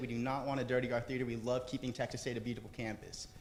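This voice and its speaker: A man's very fast speech with audible room echo. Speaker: student club president. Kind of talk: event introduction speech. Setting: theater with audience.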